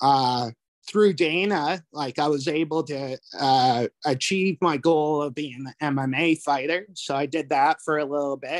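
A man with a normal speaking voice, fairly high in pitch and fairly even in intonation, in a very clean recording with a silent background and a dry, close sound with no echo. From Canada, New Brunswick (Fredericton). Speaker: jiu-jitsu instructor. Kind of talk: casual chat.

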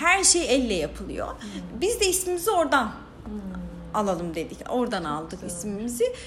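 A woman speaks at a moderate pace with big swings in loudness, with audible room echo and noticeable background noise. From Diyarbakır, southeastern Turkey. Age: 30s. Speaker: social entrepreneur, founder of a women's cooperative. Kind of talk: casual interview.

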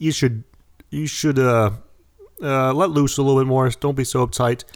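A man talks at medium pitch with an American accent and a moderate pace. It is a plain, everyday voice on a very clean recording with a silent background. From United States. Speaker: podcast co-host. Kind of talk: casual chat.

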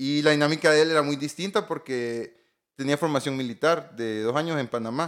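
A man's plain, everyday voice, fairly high in pitch with ordinary pitch variation, at a fairly quick pace, in a very clean recording with a silent background. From Honduras, La Paz and Comayagua. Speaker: telecom engineer and entrepreneur. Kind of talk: interview.

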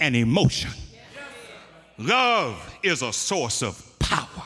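Very slowly, a man talks with very wide pitch swings. Noticeable background noise runs behind him. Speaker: preacher. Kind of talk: sermon. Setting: church.

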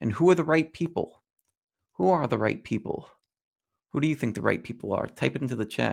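A man talks at a fairly quick pace with a fairly high pitch, lively intonation and vocal fry. Long pauses come often. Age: 40s. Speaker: trading educator. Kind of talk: live stream tutorial. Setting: live stream with screen share. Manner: halting, with fillers and repeated words.

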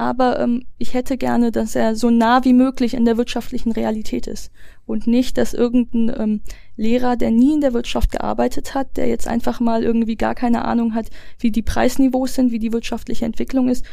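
Fairly high in pitch, a woman speaks at a fairly quick pace with monotone, flat intonation and a dark, mellow tone. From Wuppertal, western Germany. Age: 20s. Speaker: young party politician. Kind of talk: interview.

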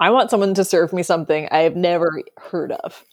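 A woman speaks at a medium pitch with ordinary pitch variation and an unremarkable speaking voice. The background is quiet. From US Midwest, Wisconsin. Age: 20s. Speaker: butcher. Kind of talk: casual chat.

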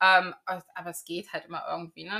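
A woman's unremarkable speaking voice, ordinary pitch variation, moderate pace. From Germany, Magdeburg area (Saxony-Anhalt). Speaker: podcast host. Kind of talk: casual chat.

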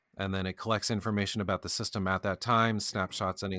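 With an American accent, a man speaks at a very deep, low pitch in monotone, flat intonation, on a very clean recording with a silent background and a dry, close sound with no echo. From US Midwest (Kentucky, Indiana). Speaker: podcast co-host, IT worker. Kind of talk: casual chat.

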